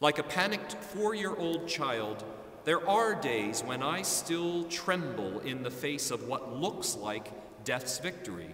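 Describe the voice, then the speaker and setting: Audible room echo surrounds a man talking at a fairly slow pace. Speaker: pastor. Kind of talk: sermon. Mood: earnest, reflective. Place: church.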